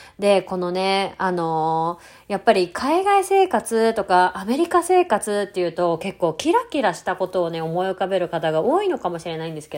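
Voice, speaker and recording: Her pitch swings very widely while she talks. The woman keeps a medium pitch and a moderate pace. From Japan, Tokyo. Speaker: podcast host and ballet studio owner. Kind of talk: casual monologue.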